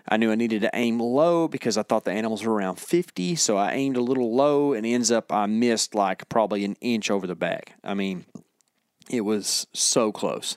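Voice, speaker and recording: A man's ordinary speaking voice, medium in pitch with ordinary pitch variation, at a fairly quick pace, on a very clean recording with a silent background. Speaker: hunting podcast co-host. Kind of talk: casual chat. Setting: studio.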